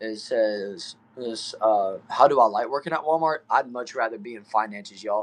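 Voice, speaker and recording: A man with a Southern Texas accent talks at a moderate pace and medium pitch, with ordinary pitch variation. He leaves hardly any pauses, and his loudness swings widely. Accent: Southern Texan. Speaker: streamer. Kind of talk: live stream chat reading comments. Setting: back shed. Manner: casual, upbeat.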